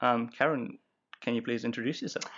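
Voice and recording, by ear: The voice has a fairly bright tone with a slightly husky edge, moving at a fairly quick pace with fairly even intonation. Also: man, medium pitch for a man.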